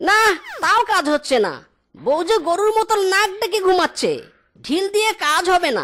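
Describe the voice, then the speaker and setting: An extremely high-pitched cartoonish character voice at a moderate pace. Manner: excitable, exclamatory.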